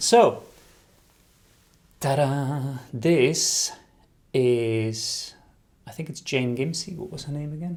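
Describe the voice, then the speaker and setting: A man with a fairly high pitch talks at a very slow pace, his loudness swinging widely and his speech broken by long, frequent pauses. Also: ordinary pitch variation. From Netherlands. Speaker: embroidery designer and video host. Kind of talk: casual chat answering viewer questions. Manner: hesitant with many fillers.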